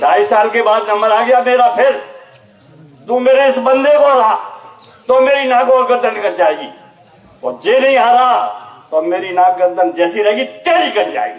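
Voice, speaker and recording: Leaving long, frequent pauses, a man speaks at an extremely high pitch with ordinary pitch variation, with audible room echo and noticeable background noise around him. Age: 70s. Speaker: lawyer and community politician. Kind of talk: public speech at community gathering. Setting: community gathering at temple with audience. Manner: forceful, rousing.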